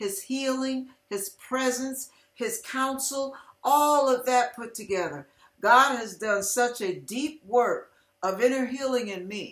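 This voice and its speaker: Speaking very slowly in a high pitch, a woman's voice carries audible room echo over a quiet background, with ordinary pitch variation. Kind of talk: inspirational testimony talk. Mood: earnest, heartfelt. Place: home room. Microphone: webcam.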